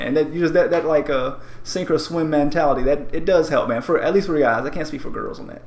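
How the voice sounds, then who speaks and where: Over noticeable background noise and audible room echo, a man talks at a very fast pace, fairly high in pitch, with ordinary pitch variation. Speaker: podcast co-host. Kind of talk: casual chat. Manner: high energy.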